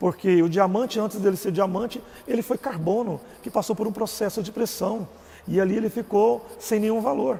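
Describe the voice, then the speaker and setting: A man with a Goiás accent speaks at a moderate pace. His voice is high-pitched, with ordinary pitch variation. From Brazil, Goiás. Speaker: religious live streamer. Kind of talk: personal testimony live stream. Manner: casual.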